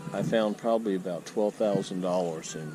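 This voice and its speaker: Noticeable background noise behind speech with an American accent. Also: man. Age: 60s. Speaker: retired military, metal detecting vlogger. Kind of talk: casual vlog monologue. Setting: outdoors on a beach. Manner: hesitant, many fillers.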